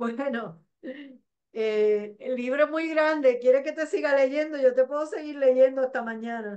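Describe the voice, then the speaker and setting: A woman with a Puerto Rican accent speaks in a high voice with a dark, mellow tone and ordinary pitch variation against a quiet background. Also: fairly slow pace, big swings in loudness. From Puerto Rico, Mayagüez. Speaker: poet. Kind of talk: poetry reading. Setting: video call. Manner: intense, expressive, confessional delivery. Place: home room. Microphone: video call.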